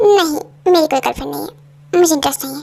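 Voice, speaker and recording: Using a put-on character voice, a woman talks at a very fast pace with big swings in loudness. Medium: fan dub.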